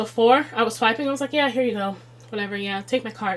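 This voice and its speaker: Here is a woman with an American accent. Her pitch is fairly high. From Chicago, US Midwest. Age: 30s. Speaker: budgeting video creator. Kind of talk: budgeting tutorial. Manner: casual, conversational.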